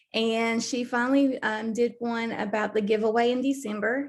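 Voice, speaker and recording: A woman speaks with a Southern US accent at a fairly high pitch and a moderate pace. Her intonation is monotone and flat. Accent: Southern US (Georgia). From US South, Southeast Georgia. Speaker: network marketing team member. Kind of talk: video call interview. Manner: hesitant, many fillers.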